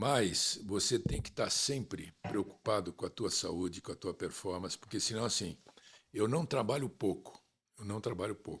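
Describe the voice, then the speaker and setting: Somewhat breathy, a man speaks in a fairly low pitch with ordinary pitch variation. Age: 70s. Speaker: sports manager. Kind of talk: interview.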